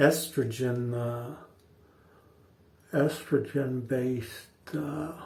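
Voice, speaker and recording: A somewhat breathy man at a very slow pace, fairly even in intonation, with long, frequent pauses and audible room echo. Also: medium pitch for a man. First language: not English. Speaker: shaving video host. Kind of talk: casual talk to camera during a shave. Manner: halting, many fillers and repeats.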